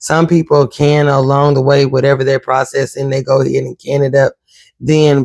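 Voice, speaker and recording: Soft-spoken man, dry and close with no echo. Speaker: homesteading cooking vlogger. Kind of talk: cooking tutorial. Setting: home kitchen.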